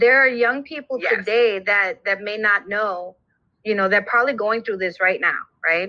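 Using a plain, everyday voice with an American accent, a woman speaks at a moderate pace with a fairly high pitch and ordinary pitch variation. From New York, Brooklyn. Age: 50s. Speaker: podcast host. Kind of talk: casual interview.

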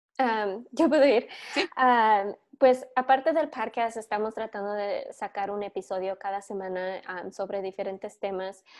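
With a plain, everyday voice, a woman speaks at a fairly slow pace and a fairly high pitch, with ordinary pitch variation and big swings in loudness, in a very clean recording with a silent background. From US, born in California, raised in Michigan. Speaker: podcast co-host and teacher. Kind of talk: interview.

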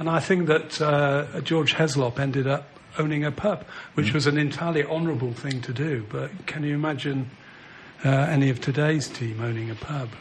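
Noticeable background noise sits behind a man's voice. He talks at a fairly quick pace with a fairly high pitch and fairly even intonation. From Manchester, England. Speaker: former footballer. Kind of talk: casual chat.

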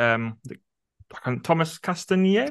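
With a Welsh accent and a bright, sharp tone, a man talks at a moderate pace over a quiet background. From Wales. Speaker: teacher and podcast co-host. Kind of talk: interview.

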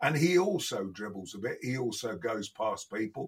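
Moderate pace, in a Midlands accent. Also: man. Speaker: podcast guest, football pundit.

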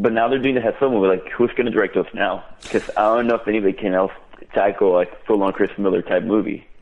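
Amid noticeable background noise, a man talks at a very fast pace in a fairly low pitch, his intonation fairly even and his loudness very even. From Venezuela. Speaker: caller. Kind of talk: casual chat.

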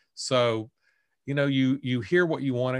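At a fairly slow pace, a man with an Alabama accent speaks on a very clean recording with a silent background. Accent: Southern US (Alabama). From US South, Bessemer, Alabama. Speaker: author and English professor. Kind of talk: casual interview.

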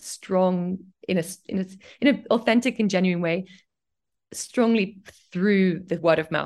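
A woman's medium-pitched voice with a slight English accent, ordinary pitch variation, a moderate pace and long, frequent pauses. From Cambridge, England. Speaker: fashion designer and brand founder. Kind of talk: casual interview chat.

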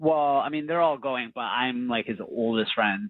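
Using an ordinary speaking voice, a man of medium pitch talks at a moderate pace. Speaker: caller. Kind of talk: casual chat. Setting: phone call.

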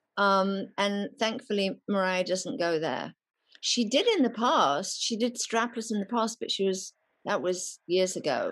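A woman's medium-pitched voice in an English Midlands accent, fairly slow and lively in intonation, against a quiet background. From England, Nottingham. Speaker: celebrity stylist. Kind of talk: casual chat.

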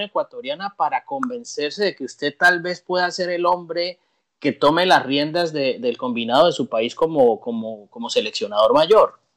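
This man has a high pitch and very wide pitch swings. The sound is dry and close, with no echo. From Colombia. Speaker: sports podcast co-host. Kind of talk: interview.

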